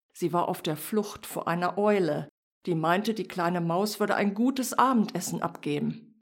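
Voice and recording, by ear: Against a quiet background, this is reading aloud in a natural voice with ordinary pitch variation.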